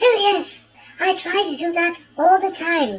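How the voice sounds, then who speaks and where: A woman's put-on character voice, squeaky and extremely high-pitched, at a moderate pace. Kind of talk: 1970s television advert. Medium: comedy sketch.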